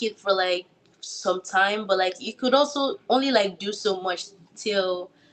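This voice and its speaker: The speaker has a Nigerian accent. The pace is fairly slow. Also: woman. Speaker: actor. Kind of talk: interview. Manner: halting, many fillers.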